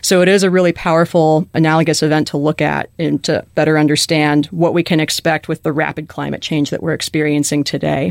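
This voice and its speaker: A woman with an American accent, very deep and low in pitch, monotone and flat, at a fairly quick pace, in a dry, close sound with no echo. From Chicago, US Midwest. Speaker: graduate student, paleontologist. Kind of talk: interview.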